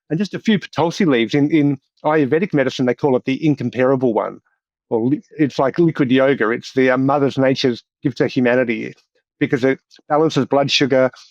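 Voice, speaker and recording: A man with an Australian accent, fairly high pitch, fairly quick pace, very even loudness, and a dry, close sound with no echo. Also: ordinary pitch variation. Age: 60s. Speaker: doctor and professor. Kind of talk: podcast interview.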